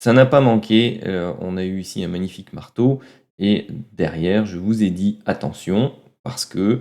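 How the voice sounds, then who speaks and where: With a dark, mellow tone and a fairly low pitch, a man speaks at a fairly slow pace, with ordinary pitch variation and big swings in loudness. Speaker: trading analyst youtuber. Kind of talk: tutorial. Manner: halting, many filler sounds.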